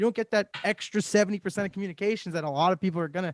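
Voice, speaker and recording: A loud man's voice, dry and close with no echo, against a quiet background. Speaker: podcast host. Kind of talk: casual chat.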